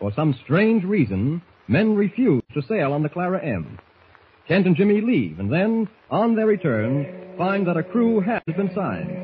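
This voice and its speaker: A man speaks with a high pitch. His pace is fairly slow and his intonation lively. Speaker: old-time radio announcer. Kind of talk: old-time radio drama narration, announcer.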